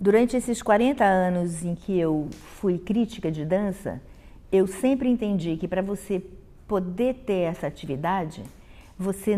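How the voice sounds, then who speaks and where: This is a woman with a dark, mellow tone. She speaks at a fairly slow pace. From Brazil, Rio de Janeiro. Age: 60s. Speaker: professor and dance critic. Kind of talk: interview testimony.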